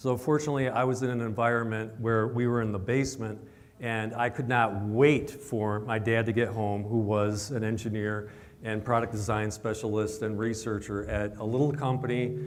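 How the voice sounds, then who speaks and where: Audible room echo and noticeable background noise surround the recording. A man speaks at a moderate pace and medium pitch. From Michigan, US Midwest. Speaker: chief science advisor. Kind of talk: presentation to a live audience. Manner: conversational, asks audience questions.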